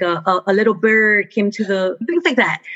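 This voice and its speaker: Her tone is energetic as this woman speaks in a medium pitch. She has a Spanish accent. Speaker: astronomer, teacher and children's author. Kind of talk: interview.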